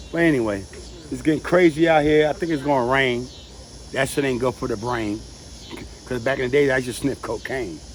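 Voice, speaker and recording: A man talking at a fairly quick pace with long, frequent pauses, over noticeable background noise. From New York City, the Bronx. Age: 60s. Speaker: family member interviewee. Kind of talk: casual chat.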